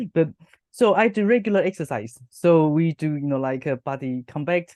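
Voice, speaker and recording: A woman's very deep, low voice, dark and mellow in tone, with lively intonation and a dry, close sound with no echo. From Taiwan. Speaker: hypnotherapist and university lecturer. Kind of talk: interview. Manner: fast; animated.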